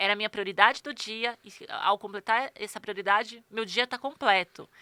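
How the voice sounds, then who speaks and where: Her tone bright and sharp, a woman speaks at a fairly high pitch with fairly even intonation, the sound dry and close with no echo. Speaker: personal organizer. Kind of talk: interview. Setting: studio. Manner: fast.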